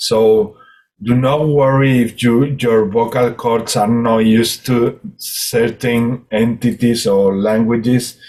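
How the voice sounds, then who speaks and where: A man talks at a very slow pace. He has a Spanish accent. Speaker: spiritual healer and hypnotist. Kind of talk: group spiritual session talk. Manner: halting, many repetitions and fillers.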